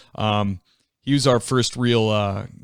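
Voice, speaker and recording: In a very clean recording with a silent background, a man speaks with a slight Boston accent, his fairly low voice monotone and flat. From near Boston. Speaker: podcast host. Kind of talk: interview.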